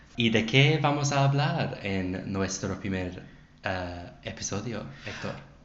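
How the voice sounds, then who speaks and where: With an English accent, a man speaks at a very slow pace in a fairly low pitch with lively intonation, amid noticeable background noise and audible room echo. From England. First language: English (speaking Spanish). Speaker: English teacher and Spanish learner. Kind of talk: casual chat. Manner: halting, many hesitations.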